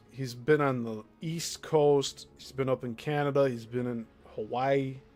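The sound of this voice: A man with an American accent speaks at a very slow pace in a medium pitch, his intonation fairly even, with music playing in the background.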